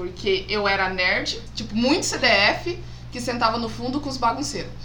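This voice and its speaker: Amid noticeable background noise and audible room echo, a woman speaks in a fairly high pitch with lively intonation. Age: 30s. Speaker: geography teacher. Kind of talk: casual chat.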